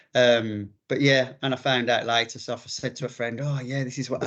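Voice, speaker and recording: Against a quiet background, a man with a Birmingham accent speaks at a medium pitch. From English Midlands, Birmingham. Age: 50s. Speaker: ultramarathon runner. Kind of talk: interview. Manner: halting, many fillers.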